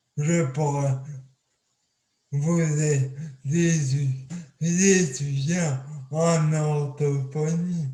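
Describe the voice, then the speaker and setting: Speaking very slowly with long, frequent pauses, a man with a fairly high pitch delivers his words in a flat monotone that is somewhat breathy, and the room echo is audible. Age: 20s. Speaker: accident survivor speaker. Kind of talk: testimony talk. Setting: video call. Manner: speech hard to understand.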